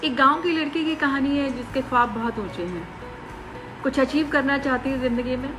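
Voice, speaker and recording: A woman's high-pitched voice with fairly even intonation, music playing in the background. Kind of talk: promotional byte, speaking to camera.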